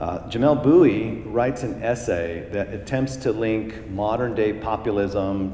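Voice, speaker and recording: A Southern Californian accent at a fairly slow pace, with audible room echo and noticeable background noise. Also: man. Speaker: professor. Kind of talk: lecture. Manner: animated.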